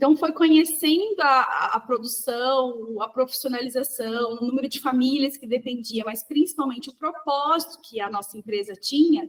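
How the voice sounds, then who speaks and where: A woman speaks with a high voice, hardly pausing at a moderate pace. Her loudness swings widely while her pitch varies in an ordinary way. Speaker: sugarcane producer, rural leader. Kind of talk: podcast interview. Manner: talks with her hands, animated.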